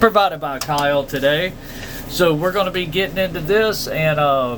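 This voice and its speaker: Over noticeable background noise, a man with a Southern US accent talks at a fairly slow pace in a fairly high pitch. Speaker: card-opening podcast host. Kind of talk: casual chat.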